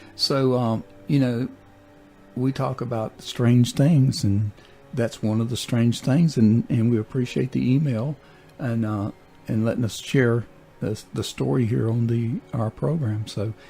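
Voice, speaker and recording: Over music in the background, a man at a medium pitch speaks at a fairly slow pace with ordinary pitch variation. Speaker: radio show host. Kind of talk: casual radio talk.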